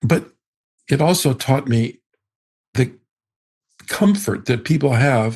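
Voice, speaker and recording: A somewhat breathy quality runs through the voice. It belongs to a man. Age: 70s. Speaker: astrologer. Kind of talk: interview.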